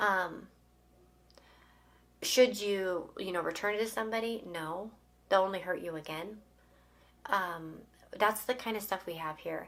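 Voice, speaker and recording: With fairly even intonation and a medium pitch, a woman talks at a moderate pace. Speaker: tarot reader. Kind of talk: tarot card reading to camera. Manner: casual, hesitant with fillers.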